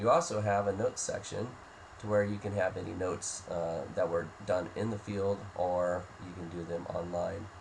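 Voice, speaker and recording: In a room with audible echo, a man speaks in a somewhat breathy, fairly low voice with fairly even intonation. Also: moderate pace. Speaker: software demo presenter. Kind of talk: software tutorial walkthrough.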